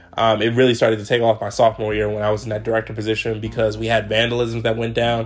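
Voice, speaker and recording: Over noticeable background noise, a man with an American accent talks at a very fast pace in a medium pitch, his intonation flat and monotone. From Maryland, Montgomery County. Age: 20s. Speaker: student podcaster. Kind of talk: solo podcast monologue.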